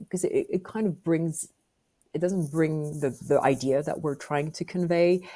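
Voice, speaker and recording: In a French accent, a woman speaks with a dark, mellow tone at a fairly low pitch. Her intonation stays fairly even and her pace fairly slow. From France. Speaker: business executive. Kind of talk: podcast interview.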